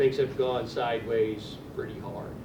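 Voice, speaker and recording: Man with an American accent, amid noticeable background noise and audible room echo. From US Midwest, western Michigan. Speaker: retired navy officer, writer. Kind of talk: informal keynote talk. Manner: loud.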